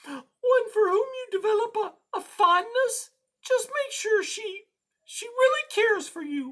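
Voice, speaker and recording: Squeaky and extremely high, the put-on character voice goes at a fairly slow pace. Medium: read story. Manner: soft, worried.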